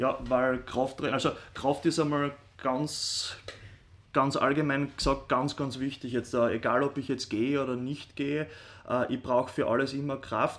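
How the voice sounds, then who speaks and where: Fairly high-pitched male speech with monotone, flat intonation at a moderate pace. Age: 30s. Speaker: sports scientist, rehab sports teacher. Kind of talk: interview. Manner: hesitant, many fillers.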